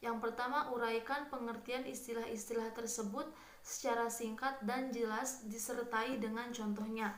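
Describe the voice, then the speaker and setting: A woman speaks at a fairly slow pace in a fairly high, flat monotone. The room echoes audibly, and there is noticeable background noise. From Kuningan, West Java, Indonesia. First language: Sundanese (speaking Indonesian). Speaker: university student. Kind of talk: recorded exam answer presentation. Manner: hesitant, many filler sounds.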